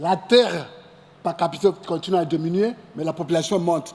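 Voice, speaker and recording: The man has a high pitch and talks at a fairly slow pace. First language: English (speaking French). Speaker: agricultural centre director and agronomist. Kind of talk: conference presentation. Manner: halting.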